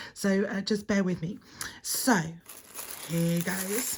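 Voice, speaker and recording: At a very slow pace, a woman talks in a somewhat breathy voice of medium pitch. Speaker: scrapbooking video creator. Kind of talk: unboxing video. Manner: hesitant, many fillers.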